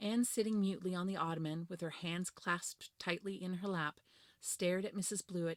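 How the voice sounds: Intonation is fairly even throughout. The speaker reads in a natural voice.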